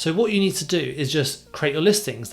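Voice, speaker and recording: Somewhat breathy and fairly quick, a man talks with ordinary variation in pitch. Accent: British. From UK. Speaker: e-commerce seller and YouTuber; online seller giving advice. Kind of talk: tutorial. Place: home room. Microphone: studio mic.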